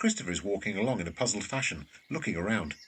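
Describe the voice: A man talks at a fast pace in a low pitch with lively intonation. His tone is fairly bright, with a slightly husky edge.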